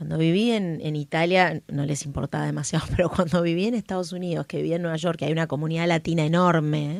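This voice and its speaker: This woman has a porteño accent and a fairly low pitch. She talks at a very fast pace with fairly even intonation and hardly any pauses. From Brazil and Buenos Aires. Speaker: podcast host. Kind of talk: casual interview chat.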